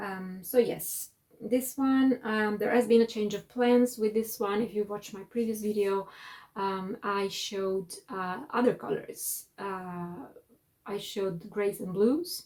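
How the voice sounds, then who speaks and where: A woman with an Italian accent speaks very slowly in a fairly high voice, her pitch moving in an ordinary way while her loudness swings widely. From Italy. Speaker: knitting vlogger and designer. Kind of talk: casual monthly video chat. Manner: halting, many fillers.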